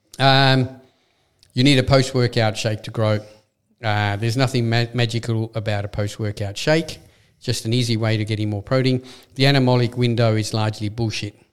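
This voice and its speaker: A man with an Australian accent talks at a fairly quick pace in a medium pitch. His intonation is monotone and flat, and the recording is very clean with a silent background. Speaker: supplement shop owner and podcast host. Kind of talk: casual chat.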